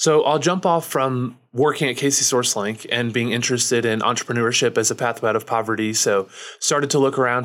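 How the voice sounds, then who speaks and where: Someone speaks with a Midwestern American accent on a very clean recording with a silent background. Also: man. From Missouri, small town. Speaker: nonprofit founder. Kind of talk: interview.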